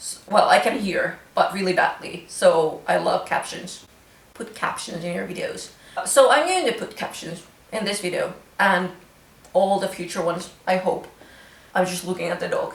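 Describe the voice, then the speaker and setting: Through audible room echo and noticeable background noise, a woman's voice shows big swings in loudness. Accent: Finnish. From Finland. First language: Finnish. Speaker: craft vlogger. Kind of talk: casual vlog chat. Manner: casual, hesitant with fillers.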